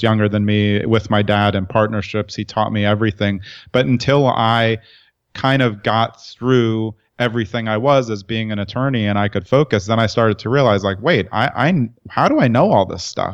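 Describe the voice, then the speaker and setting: A man with an unremarkable speaking voice and an American accent talks at a moderate pace against a quiet background. His pitch is fairly low and his intonation fairly even. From New York, Brooklyn. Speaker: entrepreneur and writer. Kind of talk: interview conversation.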